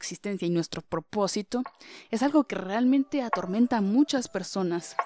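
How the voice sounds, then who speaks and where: A woman speaks in a normal speaking voice at a medium pitch and a moderate pace, with ordinary pitch variation. The sound is dry and close, with no echo. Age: young. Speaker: podcaster. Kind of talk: motivational monologue.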